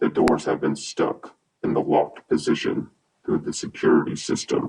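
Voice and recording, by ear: A man's guttural, put-on character voice at a moderate pace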